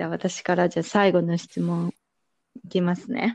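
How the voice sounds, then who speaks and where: The sound is dry and close, without any echo. A woman is talking. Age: 20s. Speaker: podcast co-host. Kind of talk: casual chat.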